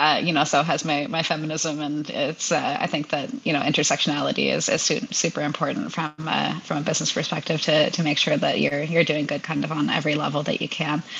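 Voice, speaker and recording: A woman's very deep, low voice with fairly even intonation and hardly any pauses, over noticeable background noise. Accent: Canadian. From Hamilton, Ontario, Canada. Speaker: food company founder and CEO. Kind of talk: interview, casual business chat.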